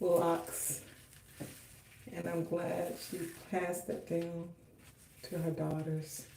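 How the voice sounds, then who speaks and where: With monotone, flat intonation, a woman speaks very slowly at a fairly low pitch, and audible room echo surrounds her voice. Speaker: hair care vlogger. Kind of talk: livestream tutorial.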